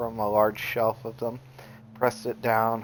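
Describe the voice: Someone does plain reading aloud here.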